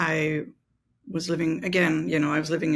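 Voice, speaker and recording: A woman with a very deep, low pitch and vocal fry, ordinary pitch variation and a moderate pace, in a very clean recording with a silent background. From Austria, Vienna. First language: German. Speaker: mental exercise coach. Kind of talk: interview.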